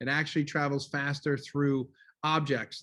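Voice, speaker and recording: A man speaks loudly at a fairly slow pace, his fairly high pitch carrying a bright, sharp tone. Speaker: high school teacher. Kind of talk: lecture. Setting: video call.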